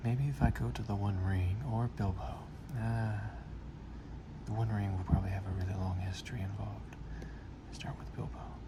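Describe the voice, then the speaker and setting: A man whispers in a soft-spoken way at a moderate pace, leaving long, frequent pauses, with noticeable background noise behind him. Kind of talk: casual talk to camera. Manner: soft-spoken, whispered.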